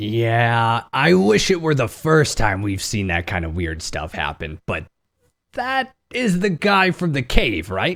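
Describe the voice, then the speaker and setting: In a raspy put-on character voice, a man at a medium pitch speaks fairly slowly, his pitch swinging very widely. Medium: actual play. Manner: pragmatic, direct.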